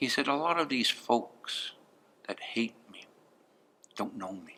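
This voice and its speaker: A man at a moderate pace with lively intonation. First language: Blackfoot. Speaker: elder speaking to students. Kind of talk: talk to students answering questions.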